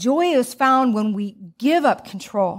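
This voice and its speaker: Very slow American-accented speech with ordinary pitch variation, on a very clean recording with a silent background. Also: woman. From US Midwest, Joliet, Illinois. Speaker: guest preacher. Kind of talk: sermon. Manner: animated.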